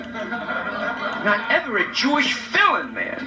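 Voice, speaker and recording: A raised, projected voice over noticeable background noise. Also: man. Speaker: stand-up comedian. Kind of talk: live stand-up comedy monologue. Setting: live club audience, vintage reel-to-reel recording.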